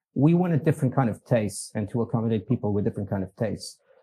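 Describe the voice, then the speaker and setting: A man with a Portuguese accent speaks at a medium pitch, somewhat breathy, with a dark, mellow tone, in a very clean recording with a silent background. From Portugal. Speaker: business executive. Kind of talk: podcast interview. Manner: halting, many fillers.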